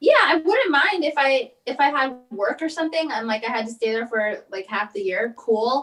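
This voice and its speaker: A woman's high-pitched voice in a Californian accent, with very wide pitch swings and a moderate pace. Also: hardly any pauses. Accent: Californian American. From Los Angeles. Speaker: comedian and actress. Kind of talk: casual interview chat. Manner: animated, opinionated.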